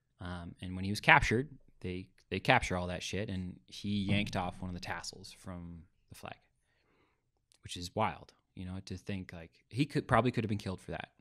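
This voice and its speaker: Over a quiet background, a man with a very deep, low voice talks at a fairly quick pace with ordinary pitch variation. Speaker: podcast guest. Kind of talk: interview answer. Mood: earnest storytelling. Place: studio. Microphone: studio mic.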